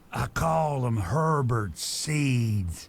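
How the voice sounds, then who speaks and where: A man at medium pitch speaks in a put-on character voice. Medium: video game. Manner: folksy, rambling.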